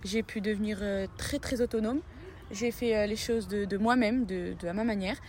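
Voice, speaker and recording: A woman with an unremarkable speaking voice, fairly high in pitch, at a fairly quick pace with fairly even intonation. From Morocco. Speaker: international student. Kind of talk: interview testimony.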